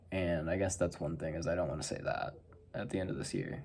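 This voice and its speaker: Soft-spoken and mumbling, a man talks at a fairly quick pace with audible room echo. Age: 20s. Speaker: vlogger. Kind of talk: casual monologue. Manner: mumbling, soft-spoken.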